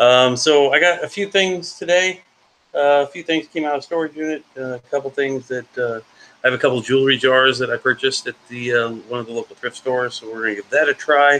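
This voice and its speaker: A man speaks fairly quickly in a normal speaking voice, pitched fairly high with ordinary pitch variation. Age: 40s. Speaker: reseller and storage unit picker. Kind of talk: casual live auction chat.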